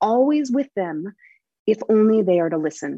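Somewhat breathy and dark, mellow in tone, a woman speaks with an American accent, a fairly high pitch and lively intonation at a moderate pace. The sound is dry and close, with no echo. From Oregon, US. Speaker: children's author. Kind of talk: interview.

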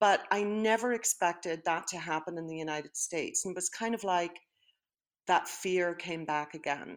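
A woman speaks with a Northern Irish accent. Her pitch sits fairly low, with ordinary variation. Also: moderate pace. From Northern Ireland. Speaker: retired high school principal. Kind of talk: interview.

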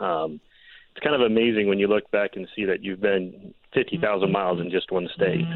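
A man talks at a moderate pace with a fairly low pitch. He has a plain, everyday voice with ordinary pitch variation. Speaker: photographer and storm chaser. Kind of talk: casual interview. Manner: casual, conversational.

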